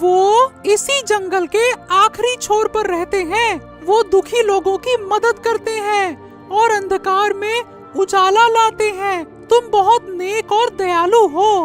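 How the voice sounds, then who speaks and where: A cartoonish character voice speaks at a fairly slow pace with clear music in the background. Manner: calm, wise.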